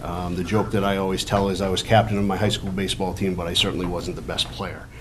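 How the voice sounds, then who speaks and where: Noticeable background noise and audible room echo surround this recording. A man talks at a very fast pace with fairly even intonation. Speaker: town council candidate. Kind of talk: candidate forum speech. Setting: public forum in high school, with audience. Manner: loud, projecting; hesitant, many fillers.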